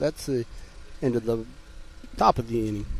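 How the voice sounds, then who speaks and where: A man mumbles his words. He speaks in a Southern US accent. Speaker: sports commentator. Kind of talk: live commentary. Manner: mumbling; casual, conversational.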